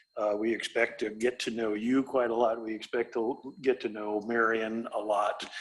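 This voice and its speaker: With a Midwestern US accent, a man speaks at a moderate pace and medium pitch, using monotone, flat intonation and hardly any pauses. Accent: US Midwest. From Iowa. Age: 60s. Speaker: real estate developer. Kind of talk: presentation to city council. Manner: halting, many fillers.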